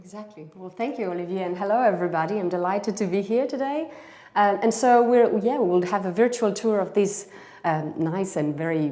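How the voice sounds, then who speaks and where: A woman talks at a fairly quick pace with lively intonation and big swings in loudness, and audible room echo surrounds her voice. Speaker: exhibition curator and art historian. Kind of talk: virtual exhibition tour. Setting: livestream from Paris exhibition. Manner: hesitant, many fillers.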